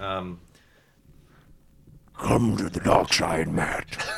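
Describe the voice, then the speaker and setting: In a put-on character voice, a man speaks at a very deep, low pitch, guttural and rumbling. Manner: menacing, tempting.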